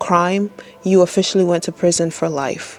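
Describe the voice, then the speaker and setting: Someone talks in a non-native accent with monotone, flat intonation. Music plays in the background. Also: woman. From third world country. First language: not English. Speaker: spiritual content creator. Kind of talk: casual monologue on spirituality. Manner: hesitant with frequent fillers.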